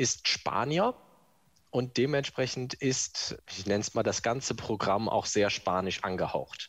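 In a very clean recording with a silent background, a man speaks very slowly at a medium pitch. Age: 20s. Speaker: office clerk. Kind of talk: recorded testimony.

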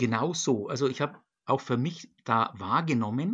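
A man's medium-pitched voice, a normal speaking voice. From Germany, Nuremberg (Franconia). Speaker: church diocesan official for global church work. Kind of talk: interview. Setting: video call from home. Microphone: computer connection.

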